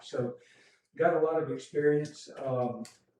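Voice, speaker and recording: A man speaks in a monotone with flat intonation and a Southern US accent. His tone is dark and mellow. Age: 70s. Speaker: retired public official. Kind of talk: public comment at council meeting. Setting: town council meeting. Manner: halting, many fillers.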